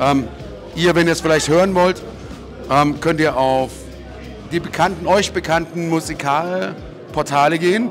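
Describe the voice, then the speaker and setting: With music in the background, a man with a fairly high pitch speaks at a fairly slow pace and very even loudness, pausing long and often. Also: ordinary pitch variation. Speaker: ring announcer and host. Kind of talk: interview answer. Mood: relaxed, upbeat. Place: hall. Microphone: handheld.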